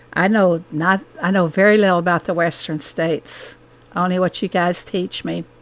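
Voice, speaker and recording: A woman with an American accent talks at a fairly slow pace and a medium pitch. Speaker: gaming streamer. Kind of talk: casual chat. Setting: live stream.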